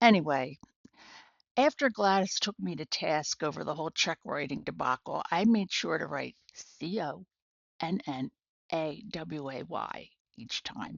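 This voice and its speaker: A woman with an American accent, very deep and low in pitch, with very wide pitch swings, vocal fry and a fairly slow pace. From northern US. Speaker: humorous storyteller. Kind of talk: personal storytelling to camera. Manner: dry, wry.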